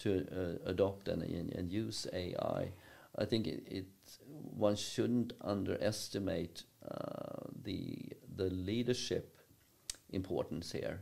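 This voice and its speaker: A man speaks at a very slow pace with a fairly low pitch. His intonation is fairly even, with long, frequent pauses. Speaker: university professor, podcast guest. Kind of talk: interview answer. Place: meeting room. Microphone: studio mic.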